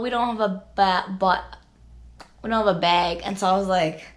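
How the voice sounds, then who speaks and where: Through noticeable background noise and audible room echo, a woman speaks at a moderate pace. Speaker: vlogger. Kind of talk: casual vlog talk. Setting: own room. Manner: casual, filler-heavy.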